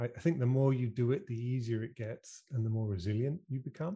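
A man speaks at a fairly quick pace with a British accent, his medium-pitched voice somewhat breathy and dark, mellow in tone. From UK. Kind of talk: casual interview chat. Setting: video call.

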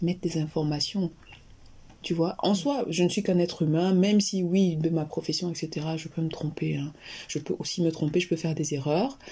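Somewhat breathy and dark, mellow in tone, a woman with a fairly low pitch speaks at a moderate pace with ordinary pitch variation. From Cameroon, Yaoundé. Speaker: general practitioner and health YouTuber. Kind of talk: interview conversation.

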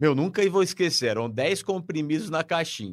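Using lively intonation, a man with a fairly high pitch talks with vocal fry. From Brazil, São Paulo state. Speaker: bank clerk and amateur triathlete. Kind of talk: radio interview, personal story. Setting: web radio studio.

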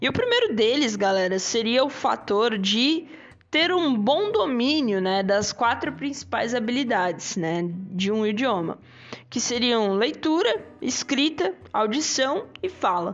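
A woman speaks very slowly at a fairly high pitch, in a Brazilian accent. Her pitch swings very widely while her loudness stays very even. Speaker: English teacher and podcast host. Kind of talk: casual solo podcast lesson. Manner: animated.

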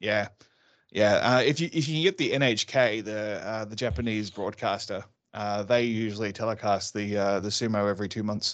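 Against a quiet background, a man with an Australian accent talks at a fairly low pitch and moderate pace, with ordinary pitch variation. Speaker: martial arts instructor and safety consultant. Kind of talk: casual chat.

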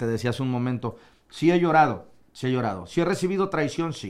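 A man with an ordinary speaking voice, fairly quick pace and lively intonation, on a very clean recording with a silent background. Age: 40s. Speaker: radio broadcaster. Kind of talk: casual chat.

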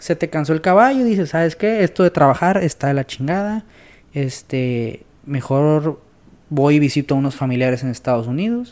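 His pitch fairly high and his intonation lively, a man speaks in a normal speaking voice at a moderate pace. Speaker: podcast guest. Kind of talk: casual chat.

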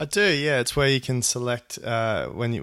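The recording is very clean with a silent background. A man with an Australian accent speaks at a moderate pace. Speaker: podcast host. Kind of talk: interview; podcast intro.

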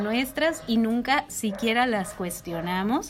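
A woman at high pitch with ordinary pitch variation and a fairly slow pace, with noticeable background noise. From Mexico, Jalisco. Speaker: podcast co-host. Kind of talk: casual chat.

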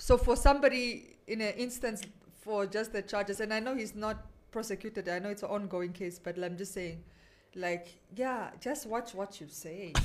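In a normal speaking voice, a woman talks at medium pitch and a moderate pace, with ordinary pitch variation and big swings in loudness. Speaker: radio host. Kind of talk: casual radio chat.

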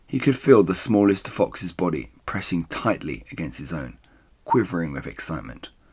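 A man's low-pitched voice with a slightly husky edge, big pitch swings and a moderate pace

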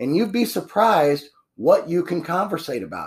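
With vocal fry and lively intonation, a man talks at a moderate pace on a very clean recording with a silent background. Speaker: podcast host and painting business owner. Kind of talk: solo podcast monologue on business tips. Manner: casual, conversational with many fillers.

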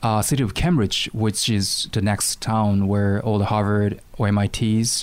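A man speaks at a fairly slow pace in a fairly low voice, with very even loudness and hardly any pauses. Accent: Japanese. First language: Japanese. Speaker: guest who moved back to Japan from the US. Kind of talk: casual chat. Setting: studio.

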